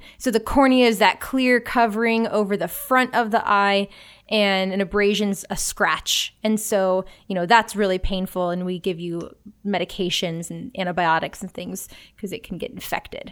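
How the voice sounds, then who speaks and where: An unremarkable speaking voice from a woman at medium pitch and moderate pace, with ordinary pitch variation and big swings in loudness, in a very clean recording with a silent background. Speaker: emergency physician. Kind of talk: casual comedic chat.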